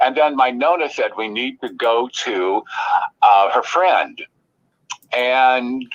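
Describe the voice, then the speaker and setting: With an American accent, a man talks at a medium pitch in an ordinary speaking voice. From Illinois, US Midwest. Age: 60s. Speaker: psychic medium. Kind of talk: podcast interview.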